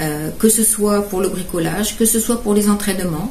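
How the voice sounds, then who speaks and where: Noticeable background noise sits behind a woman speaking at a moderate pace. Her pitch is medium, with ordinary variation. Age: 70s. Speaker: caregiver and charity fundraiser. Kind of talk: presentation. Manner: halting, with many hesitations.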